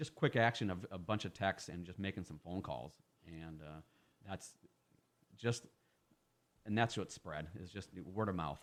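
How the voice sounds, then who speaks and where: Speaking with an American accent, a man with a very deep, low voice moves at a moderate pace, his pitch varying in an ordinary way while his loudness swings widely and long pauses come often. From Iowa, US Midwest. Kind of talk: radio interview. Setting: radio studio. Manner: talkative; repetitive fillers and restarts.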